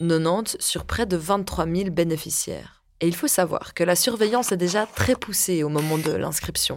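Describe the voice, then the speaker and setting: With vocal fry and hardly any pauses, a woman speaks at a fairly slow pace and fairly low pitch with ordinary pitch variation. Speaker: podcast host and journalist. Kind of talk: scripted narration.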